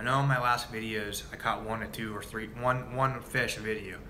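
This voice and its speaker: Audible room echo surrounds a man with an American accent speaking at a medium pitch with fairly even intonation. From Ohio, Cincinnati. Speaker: fishing and hunting video creator. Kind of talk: live stream chat with viewers. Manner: casual, halting with many fillers.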